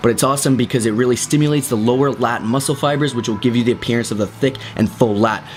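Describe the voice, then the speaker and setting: A man's medium-pitched voice at a very fast pace, with very even loudness, hardly any pauses and noticeable background noise. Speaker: fitness instructor. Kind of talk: tutorial.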